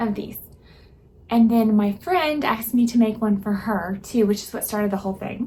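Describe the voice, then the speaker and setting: In an American accent, the voice is somewhat breathy with a dark, mellow tone, a moderate pace and ordinary pitch variation. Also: woman. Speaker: sewing vlogger. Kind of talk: casual vlog.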